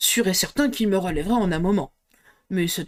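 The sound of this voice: Over a quiet background, an unforced reading voice moves with ordinary pitch variation.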